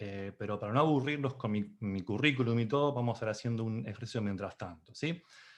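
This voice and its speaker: Over a quiet background, a man talks fairly quickly. His intonation is lively. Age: 40s. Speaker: Scrum Master and conference speaker. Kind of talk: conference talk. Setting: video call. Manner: fast.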